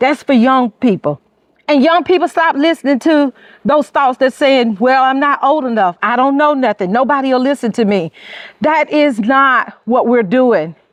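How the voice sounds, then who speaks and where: A woman with a high pitch speaks at a moderate pace with lively intonation and an animated tone, the sound dry and close with no echo. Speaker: caregiver and motivational speaker. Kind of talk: motivational talk. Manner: loud.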